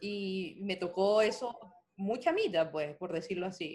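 Speaking with a Venezuelan accent, a woman talks at a fairly slow pace. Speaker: podcast co-host. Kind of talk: casual chat.

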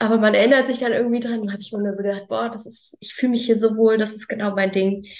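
At a very fast pace, a woman talks in a fairly high pitch with monotone, flat intonation. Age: 20s. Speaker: farmer. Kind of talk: casual chat.

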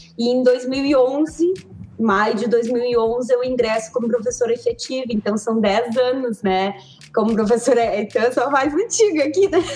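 Pitched high with ordinary variation, a woman speaks at a moderate pace over noticeable background noise. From southern Brazil, Pelotas. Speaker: physical education teacher. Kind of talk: casual chat.

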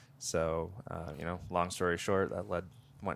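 In an American accent, a man speaks with a very deep, low voice and monotone, flat intonation. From upstate New York. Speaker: former army ranger and firearms trainer. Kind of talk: casual interview chat.

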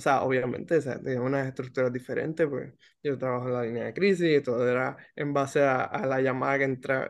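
A man talks at a fairly quick pace in a fairly high pitch, keeping his intonation fairly even. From Puerto Rico. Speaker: podcast host, clinical social worker. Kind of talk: casual chat. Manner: halting, many fillers.

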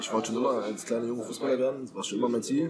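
Amid noticeable background noise and audible room echo, a man talks very fast with ordinary pitch variation. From Berlin, Germany. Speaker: professional footballer. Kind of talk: casual interview. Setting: shisha bar.

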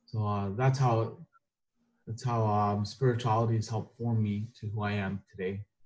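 A man with a Canadian accent speaks at a moderate pace and a fairly low pitch, somewhat breathy, with monotone, flat intonation. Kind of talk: casual group discussion. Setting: video call.

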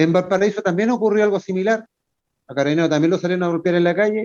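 His tone is dark and mellow, though the man's pitch sits high. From Chile. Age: 50s. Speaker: retired navy serviceman, bereaved father. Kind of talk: radio interview.

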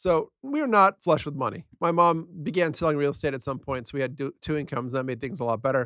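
A man with an American accent races along at a very fast pace with hardly any pauses, in a fairly high pitch and a bright, sharp tone, with ordinary pitch variation and a dry, close sound with no echo over a quiet background. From San Diego, California. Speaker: podcast co-host. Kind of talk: casual chat.

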